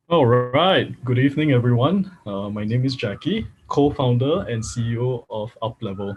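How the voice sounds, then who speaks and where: Speaking at a moderate pace with hardly any pauses, a man uses a somewhat breathy voice at medium pitch with ordinary pitch variation. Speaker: data science workshop instructor. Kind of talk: online workshop lecture. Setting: livestream.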